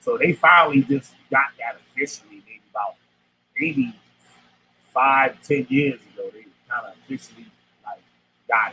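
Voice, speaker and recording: A fairly high-pitched male voice at a moderate pace, ordinary pitch variation, big swings in loudness, and long, frequent pauses. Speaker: former cult member. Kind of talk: casual interview testimony. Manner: loud, raises voice to control talk; bossy, dominates conversation.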